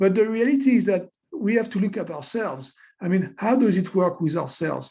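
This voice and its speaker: With a French accent, a man speaks at a fairly quick pace in a high pitch. His tone is dark and mellow, and his intonation is lively. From France. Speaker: technology executive and scientist. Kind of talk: webinar interview. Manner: hesitant, many fillers.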